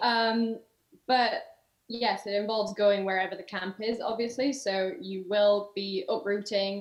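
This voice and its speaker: A woman speaks with a Yorkshire accent. Her pace is fairly slow. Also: medium pitch for a woman, fairly even intonation. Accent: sounds like from Yorkshire. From Germany, half English. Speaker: summer camp counsellor. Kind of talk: casual interview.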